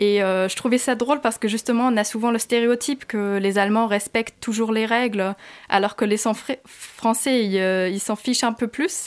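Over a silent background in a very clean recording, a woman speaks at a fairly high pitch and a moderate pace. Her loudness is very even and her intonation fairly even. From Germany. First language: German (speaking French). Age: 20s. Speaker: student, former au pair. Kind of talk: interview.

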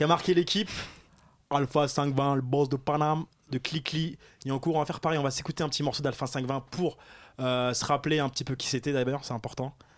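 A normal speaking voice from a man, fairly high in pitch, fairly quick, with fairly even intonation. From Paris suburbs, Seine-Saint-Denis. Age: 20s. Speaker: radio host. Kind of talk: casual radio chat. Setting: radio studio.

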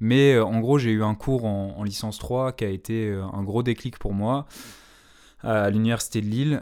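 On a very clean recording with a silent background, a man speaks at a very slow pace in a fairly low pitch. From Paris. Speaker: radio host. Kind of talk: casual chat.

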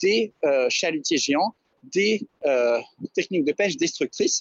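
Lively intonation marks this man's high-pitched voice as he speaks at a fairly slow pace. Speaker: environmental activist. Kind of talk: radio interview. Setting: phone call.

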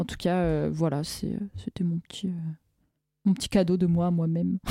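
A woman's fairly low-pitched voice has a dark, mellow tone and fairly even intonation. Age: 20s. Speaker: community radio host. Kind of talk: casual chat. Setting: studio.

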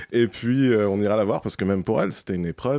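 A man talks at a very fast pace, his fairly low pitch showing ordinary variation. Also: very clean recording, silent background. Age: 30s. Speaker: documentary filmmaker. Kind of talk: interview. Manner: hesitant.

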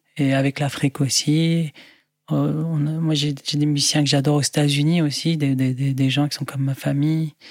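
Flat and monotone, a man's fairly high voice moves at a moderate pace. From Lebanon, Beirut. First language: Arabic (speaking French). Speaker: music producer and musician. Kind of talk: interview.

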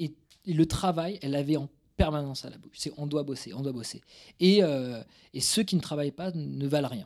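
On a very clean recording with a silent background, a man with a Toulouse accent speaks at a moderate pace and fairly high pitch, with ordinary pitch variation, big swings in loudness and long, frequent pauses. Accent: southern French, Toulouse. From Toulouse suburbs, southwest France. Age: 30s. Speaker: career guidance coach and entrepreneur. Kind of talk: casual interview. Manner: halting, many repetitions.

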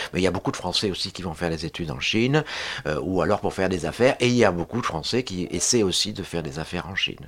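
Very deep and low in pitch, a man talks at a very fast pace with lively intonation. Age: 60s. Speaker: social science researcher and lecturer. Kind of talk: radio panel discussion.

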